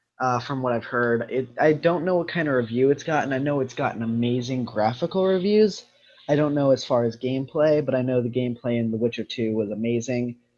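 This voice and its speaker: A man with a medium pitch and ordinary pitch variation has an unremarkable speaking voice. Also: fairly quick pace. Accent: American. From United States. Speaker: gaming show host. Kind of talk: casual chat.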